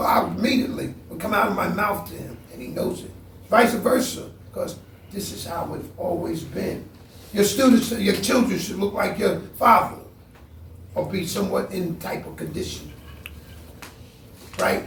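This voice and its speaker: A man's voice with big swings in loudness and long, frequent pauses, amid noticeable background noise and audible room echo. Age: 60s. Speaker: martial arts grandmaster. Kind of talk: seminar talk. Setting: martial arts seminar. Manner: animated.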